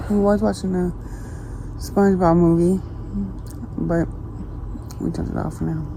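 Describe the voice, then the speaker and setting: A quiet voice at a moderate pace, with long, frequent pauses. Background noise is noticeable and room echo can be heard. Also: woman. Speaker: family vlogger. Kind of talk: casual chat. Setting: outdoors at night, then in a bedroom. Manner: quiet, hushed.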